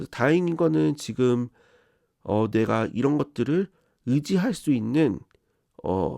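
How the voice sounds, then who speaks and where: A man speaks very slowly at a medium pitch, with very wide pitch swings and long, frequent pauses. His tone is dark and mellow against a quiet background. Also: dry, close sound with no echo. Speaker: tarot reader, hobbyist office worker. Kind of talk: tarot reading monologue.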